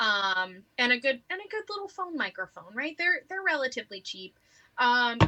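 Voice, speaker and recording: Projecting a raised voice, a woman speaks with high pitch, very wide pitch swings, a bright, sharp tone and big swings in loudness. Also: moderate pace. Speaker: flute teacher. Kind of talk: casual interview.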